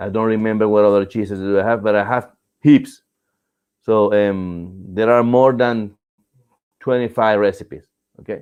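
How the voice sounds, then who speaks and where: Pausing long and often, a man with a Latin American accent speaks at a fairly low pitch with fairly even intonation. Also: moderate pace. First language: Spanish. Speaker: cheese making instructor. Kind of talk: Q&A tutorial show. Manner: hesitant, many fillers and restarts.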